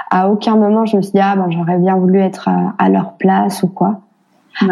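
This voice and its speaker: Here a woman talks at a fairly slow pace. Her pitch is medium, and her tone is dark and mellow. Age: 30s. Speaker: single mother. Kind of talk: interview testimony. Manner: halting, many repetitions.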